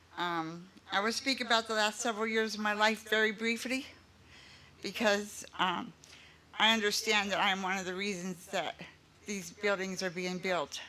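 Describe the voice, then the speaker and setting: Pausing long and often, a woman talks at a moderate pace with a medium pitch and fairly even intonation. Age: 60s. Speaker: resident of senior housing. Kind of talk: public speech at dedication ceremony.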